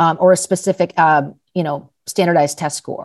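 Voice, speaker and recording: This woman has a fairly low pitch and an American accent. Her pitch varies in an ordinary way. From Los Angeles, California. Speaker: startup founder and CEO. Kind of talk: interview conversation.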